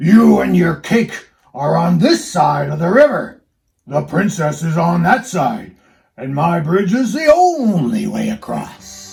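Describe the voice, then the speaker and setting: Putting on a character voice, a man growls in a gruff, high pitch at a fairly slow pace. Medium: read story. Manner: gruff, demanding.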